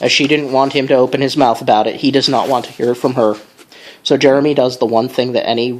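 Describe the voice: The intonation is fairly even. The delivery is plain reading aloud.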